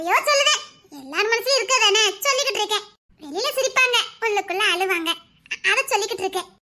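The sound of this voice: Fast and lively in intonation, a put-on character voice comes through with a bright, sharp tone. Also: woman, extremely high pitch for a woman.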